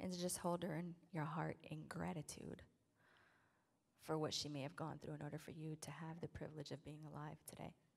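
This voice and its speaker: A woman talks at a fairly quick pace with a very deep, low pitch and vocal fry. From South Side of Chicago. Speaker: spoken word poet. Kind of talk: poem introduction.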